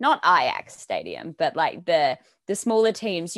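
A woman speaks with an Australian accent at a medium pitch. Her pace is fairly slow. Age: 20s. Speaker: news producer and reporter. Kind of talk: casual chat.

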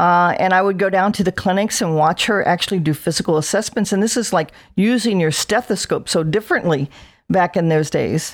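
A plain, everyday voice talks at a fairly quick pace with ordinary pitch variation and very even loudness, in a very clean recording with a silent background. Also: woman, medium pitch for a woman. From South New Jersey. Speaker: veteran nurse practitioner. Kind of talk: interview.

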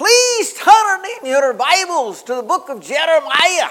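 The voice is pitched extremely high in a put-on character style. Its delivery is fairly slow. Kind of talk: sermonic, instructing a congregation.

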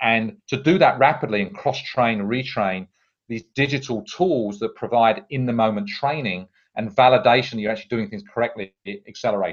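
In a British accent, a man of medium pitch talks at a moderate pace with ordinary pitch variation. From UK. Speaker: tech company CEO. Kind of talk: interview. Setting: at home. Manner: hesitant with fillers.

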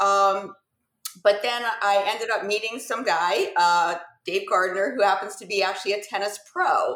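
A woman speaks at a medium pitch in a normal speaking voice. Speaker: nutritionist. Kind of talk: interview.

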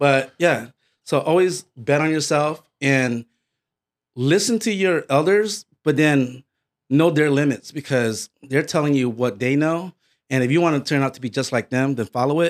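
A man with an American accent and a normal speaking voice, fairly high in pitch, at a moderate pace with ordinary pitch variation, in a very clean recording with a silent background. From Connecticut, US East Coast. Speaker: podcast host. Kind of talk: casual chat.

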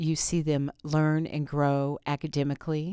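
In an American accent, a woman talks at a fairly slow pace in a very deep, low pitch with a dark, mellow tone and monotone, flat intonation, on a very clean recording with a silent background. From Indiana, US Midwest. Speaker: teacher. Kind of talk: interview.

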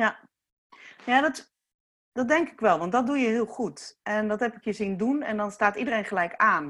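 A woman with a normal speaking voice and a fairly high pitch talks at a moderate pace with lively intonation and big swings in loudness. The recording is very clean with a silent background. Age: 40s. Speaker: youth care foundation founder. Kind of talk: casual chat.

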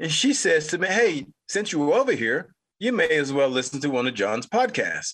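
Against a quiet background, a man with a bright, sharp tone speaks at a fairly slow pace, swinging very widely in pitch. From North Carolina. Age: 50s. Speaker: podcast host. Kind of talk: solo commentary monologue.

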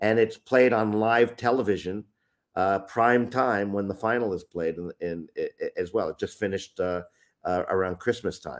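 In a normal speaking voice, a man with an American accent speaks at a moderate pace and fairly low pitch, with fairly even intonation. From upstate New York, US. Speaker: youth soccer trainer and consultant. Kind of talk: interview. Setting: remote call.

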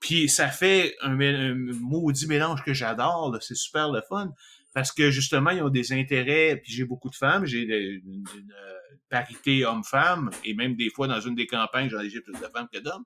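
A man's bright, sharp voice in a Quebec accent, at a moderate pace with ordinary pitch variation. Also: medium pitch for a man, big swings in loudness. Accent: Québécois French. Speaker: podcast host. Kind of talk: casual chat.

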